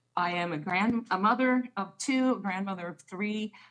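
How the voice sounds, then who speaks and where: With an American accent, a woman speaks with lively intonation. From New Jersey. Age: 60s. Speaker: political activist and local elected official. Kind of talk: radio interview.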